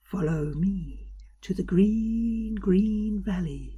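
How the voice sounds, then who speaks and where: A woman's soft-spoken, whispering character voice, put on and very slow. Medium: read story. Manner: soft, whispering.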